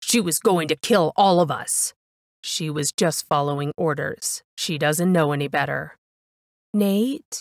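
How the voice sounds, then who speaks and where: Dry and close with no echo, a woman's very deep, low voice moves at a fairly slow pace with an animated tone and ordinary pitch variation. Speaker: audiobook narrator. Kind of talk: dramatic audiobook narration of fiction. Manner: animated, voicing different characters with shifts in tone.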